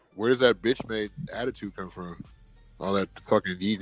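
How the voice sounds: Over music in the background, a man talks at a fairly low pitch and a moderate pace with fairly even intonation and big swings in loudness, the sound dry and close with no echo.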